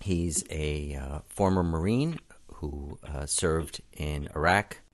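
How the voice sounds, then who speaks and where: Against a quiet background, a man speaks in an American accent. His pitch is very deep and low. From Brooklyn, New York. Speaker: podcast host. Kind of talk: radio DJ patter, upbeat podcast intro. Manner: energetic, friendly, punchy and chatty.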